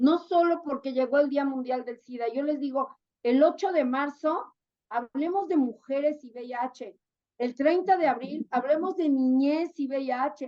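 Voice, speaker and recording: A woman's high-pitched voice moves at a fairly slow pace, with ordinary pitch variation. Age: 60s. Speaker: sexologist and therapist. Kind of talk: interview. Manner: animated.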